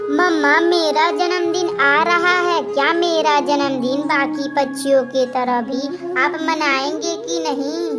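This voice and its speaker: A cartoonish character voice, female-sounding and high-pitched, at a fairly slow pace over loud music in the background. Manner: emotional.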